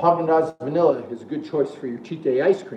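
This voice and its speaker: A fairly quick male voice with ordinary pitch variation, audible room echo and light background noise. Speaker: fitness coach. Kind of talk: casual live-stream talk. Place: gym. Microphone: phone near.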